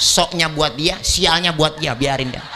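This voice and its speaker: Amid noticeable background noise, a man with a Jakarta accent talks at a fairly high pitch. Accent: Betawi. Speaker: Islamic preacher. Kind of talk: humorous religious sermon. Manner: joking, casual.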